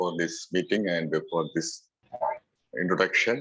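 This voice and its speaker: Very slow speech in a Keralan accent. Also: man. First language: Malayalam. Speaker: activist. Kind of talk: public talk. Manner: halting.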